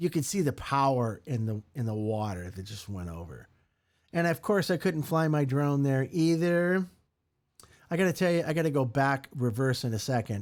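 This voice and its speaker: Speaking at a moderate pace with an American accent, a man uses a fairly high pitch, an animated tone and very wide pitch swings. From USA. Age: 60s. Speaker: podcast host. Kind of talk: casual monologue.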